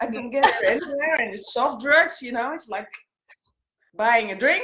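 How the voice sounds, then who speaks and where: A woman with a Dutch accent speaks in a high voice with a bright, sharp tone and lively intonation. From Netherlands, Amsterdam. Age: 50s. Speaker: former flight attendant, coaching client. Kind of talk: interview. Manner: halting.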